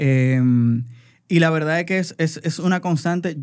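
A man's voice shows ordinary pitch variation on a very clean recording with a silent background. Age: 40s. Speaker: advertising creative and entrepreneur. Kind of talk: casual chat. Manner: halting.

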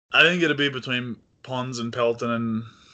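A man talks in an Australian accent with a bright, sharp tone. His intonation is monotone and flat. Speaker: online baseball league general manager. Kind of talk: casual chat.

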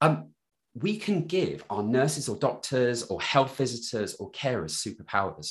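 Over a quiet background, a man's voice shows vocal fry and very wide pitch swings. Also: medium pitch for a man, moderate pace. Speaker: digital health consultant. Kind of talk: interview.

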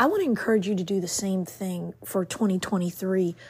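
Speaking at a moderate pace, a woman uses a medium pitch, a somewhat breathy, warm tone and ordinary pitch variation. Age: 50s. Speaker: podcast host, self-care motivational speaker. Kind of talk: motivational monologue. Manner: warm, encouraging.

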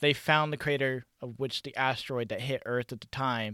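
In a very clean recording with a silent background, the voice has a bright, sharp tone and monotone, flat intonation. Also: man, dry, close sound with no echo. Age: 20s. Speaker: podcast co-host. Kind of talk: casual chat. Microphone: microphone shorted out, slight echo.

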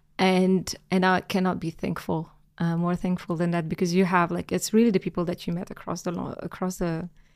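A woman talks at a fairly quick pace in a monotone, flat delivery. The recording is very clean, with a silent background. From Algeria. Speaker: finance professional in tech. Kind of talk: interview conversation.

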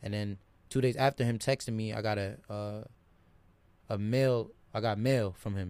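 Dark and mellow in tone, a man speaks at medium pitch with ordinary pitch variation. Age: 20s. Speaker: college basketball player. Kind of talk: casual chat.

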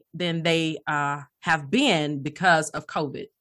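A woman speaks at a very slow pace with a Southern US accent. Her fairly low voice has a bright, sharp tone against a quiet background. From Alabama, US South. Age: 30s. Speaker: life coach and pastor. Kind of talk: interview.

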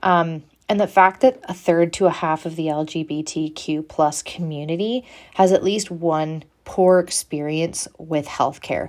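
The speaker talks at a fairly slow pace with ordinary pitch variation. The recording is very clean, with a silent background. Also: woman, fairly low pitch for a woman. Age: 20s. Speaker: nursing student. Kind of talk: solo student podcast presentation. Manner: halting, many fillers.

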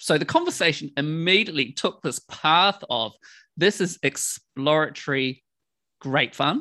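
A man's fairly high voice with a New Zealand accent, bright and sharp in tone, at a fairly slow pace with ordinary pitch variation, dry and close with no echo over a quiet background. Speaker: podcast host. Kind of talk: casual chat.

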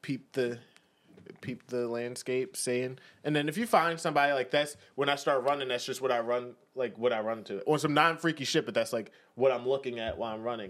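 Speaking with an American accent, a man has an unremarkable speaking voice at a medium pitch, with fairly even intonation and a fairly quick pace. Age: 20s. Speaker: podcast co-host. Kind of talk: casual chat.

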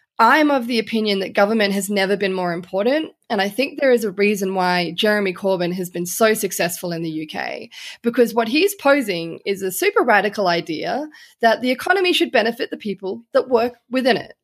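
Talking fairly quickly with an Australian accent, a woman at medium pitch uses lively intonation on a very clean recording with a silent background. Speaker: journalist. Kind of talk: interview conversation.

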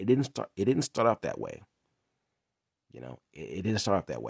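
Fairly low in pitch, this man's voice shows vocal fry and lively intonation. The sound is dry and close with no echo, in a very clean recording with a silent background. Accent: American. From Inglewood, California. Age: 30s. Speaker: podcast host, reseller entrepreneur. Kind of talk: casual monologue, personal story. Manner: halting, many fillers and restarts.

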